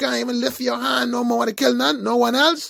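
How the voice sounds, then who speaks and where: A man speaks in an animated tone. His pace is moderate. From Bahamas. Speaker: online commentator. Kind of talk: monologue.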